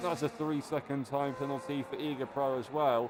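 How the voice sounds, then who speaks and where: A man with a fairly high-pitched voice speaks at a moderate pace over noticeable background noise. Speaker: sim racing league commentator. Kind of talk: live commentary. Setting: live stream. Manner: loud, near shouting. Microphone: audio cutting out, streaming software issue.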